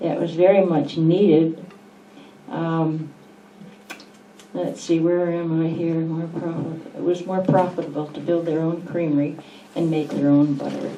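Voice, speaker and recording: Over noticeable background noise and audible room echo, a woman with a fairly low pitch speaks at a fairly slow pace in a monotone, flat intonation with long, frequent pauses. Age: 80s+. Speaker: longtime local resident. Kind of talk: reading aloud and reminiscing. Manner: halting.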